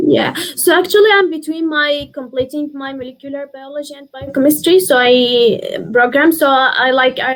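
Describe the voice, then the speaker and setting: Someone speaks with an Arabic accent at a moderate pace, showing ordinary pitch variation. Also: woman. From Syria. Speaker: university student. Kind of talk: interview. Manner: halting, many fillers.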